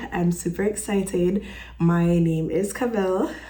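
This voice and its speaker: Fairly slow, animated speech from a woman with a Jamaican accent, plus audible room echo. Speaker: vlogger. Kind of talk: casual vlog talk.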